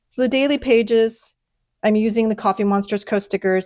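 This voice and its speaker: On a very clean recording with a silent background, a woman speaks with ordinary pitch variation in a dry, close sound with no echo. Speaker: planner and journaling content creator. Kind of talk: casual flip-through tutorial. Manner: casual, filler-heavy; fast.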